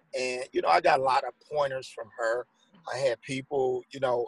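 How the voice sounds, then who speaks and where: A man with an American accent speaks at a moderate pace, somewhat breathy. The sound is dry and close, with no echo. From St. Louis, Missouri. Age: 50s. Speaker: author and former police officer. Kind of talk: interview.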